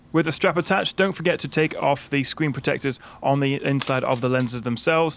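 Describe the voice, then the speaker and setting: Speaking with a British accent at a very fast pace, a man keeps a medium pitch with ordinary pitch variation. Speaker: tech reviewer. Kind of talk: tutorial. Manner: casual, frequent fillers.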